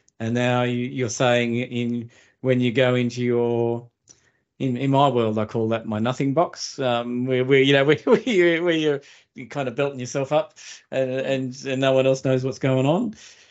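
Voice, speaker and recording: With an Australian accent, a man speaks at a moderate pace using fairly even intonation. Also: medium pitch for a man. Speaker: podcast host and producer. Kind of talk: interview conversation. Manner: halting, repeats words.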